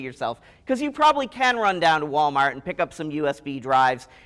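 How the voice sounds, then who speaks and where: On a very clean recording with a silent background, a man speaks loudly with very wide pitch swings. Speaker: university IT director and professor. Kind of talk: conference talk. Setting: stage with audience. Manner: animated.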